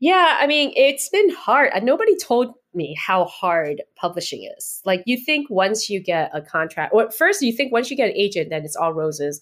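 A woman with vocal fry talks at a fairly high pitch and a moderate pace, barely pausing. Her pitch swings very widely and her loudness shifts greatly, in a very clean recording with a silent background. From United States (moved from Taiwan at seven). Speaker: novelist and personal trainer. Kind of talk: interview.

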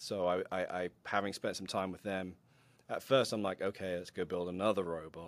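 This is an ordinary speaking voice at a moderate pace. The recording is very clean, with a silent background. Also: man. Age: 30s. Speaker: robot combat competitor and youth robotics mentor. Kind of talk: casual interview.

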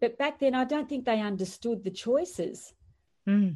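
Lively intonation from a woman with an Australian accent against a quiet background. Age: 50s. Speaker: entrepreneur and author. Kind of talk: podcast interview. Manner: animated.

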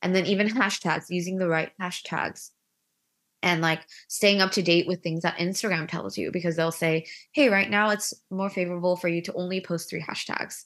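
A plain, everyday voice from a woman with an American accent, fairly low in pitch, with fairly even intonation at a moderate pace over a quiet background. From US, Korean American. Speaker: influencer and stay-at-home mom. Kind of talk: casual interview.

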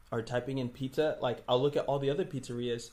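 Somewhat breathy and with an American accent, a man talks at a fairly quick pace, with medium pitch and fairly even intonation. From Brooklyn, New York. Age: 20s. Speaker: video creator. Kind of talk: casual chat.

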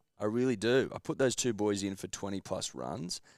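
A man with an Australian accent and a fairly low pitch, on a very clean recording with a silent background. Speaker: sports betting podcast co-host. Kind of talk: casual banter.

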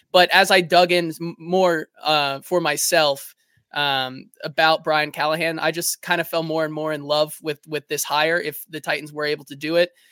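A man with an American accent, bright, sharp tone and monotone, flat intonation, at a moderate pace with hardly any pauses, in a dry, close sound with no echo. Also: fairly high pitch for a man, very clean recording, silent background. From Cincinnati, Ohio. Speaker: Bengals fan podcaster. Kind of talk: casual live sports talk.

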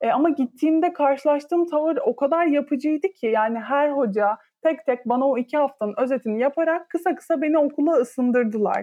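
Her high pitch and lively intonation carry as a woman speaks at a fairly quick pace. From Turkey, İzmir. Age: 20s. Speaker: podcast co-host, volleyball player. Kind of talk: casual chat.

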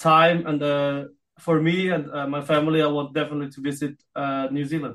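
A man with a fairly high pitch, moderate pace and monotone, flat intonation. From Austria, Filipino parents. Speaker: professional darts player. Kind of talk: interview. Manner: halting, many fillers.

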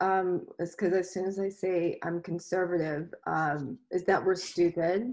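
With a Texan accent, a woman of medium pitch speaks at a fairly slow pace, with fairly even intonation and hardly any pauses. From Texas, Houston area. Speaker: comedian. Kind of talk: casual chat.

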